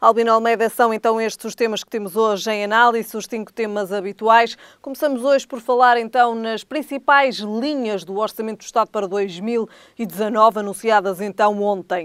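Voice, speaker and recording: An unremarkable speaking voice: a woman's fairly high pitch, fairly even intonation, big swings in loudness, a moderate pace and hardly any pauses, in a dry sound with no echo against a quiet background. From Portugal. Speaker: tv news host. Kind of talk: interview. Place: studio. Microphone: lapel.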